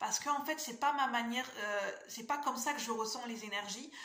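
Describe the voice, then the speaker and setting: Over noticeable background noise and audible room echo, a woman speaks at a fairly high pitch with ordinary pitch variation. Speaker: tarot reader and spiritual coach. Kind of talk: casual vlog talk to viewers. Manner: fast; hesitant with fillers.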